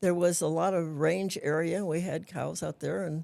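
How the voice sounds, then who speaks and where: Recorded very cleanly against a silent background, a woman with an American accent speaks at a fairly slow pace, her fairly low pitch carrying vocal fry and a dark, mellow tone. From US West, Antelope Valley, southern California. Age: 80s+. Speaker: retired school principal. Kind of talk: casual interview. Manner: halting.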